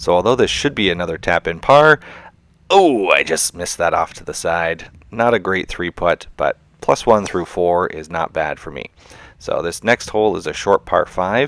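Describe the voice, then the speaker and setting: With an unremarkable speaking voice, a man talks at a fairly low pitch and a moderate pace with lively intonation. His loudness swings widely, and the sound is dry and close with no echo. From Canada. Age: 40s. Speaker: golf YouTuber. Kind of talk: voiceover narration of own golf round. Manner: casual, relaxed.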